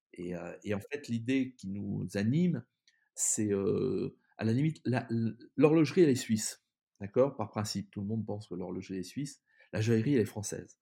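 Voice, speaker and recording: A man's dark, mellow tone at a moderate pace, with lively intonation, big swings in loudness and long, frequent pauses, on a very clean recording with a silent background. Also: medium pitch for a man. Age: 50s. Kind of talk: interview. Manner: halting, many repetitions.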